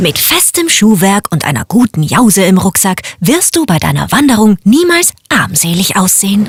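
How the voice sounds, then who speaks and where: At a moderate pace and medium pitch, a woman talks with lively intonation and hardly any pauses, in a dry, close sound with no echo against noticeable background noise. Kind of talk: formal standard German announcement. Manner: polite, formal.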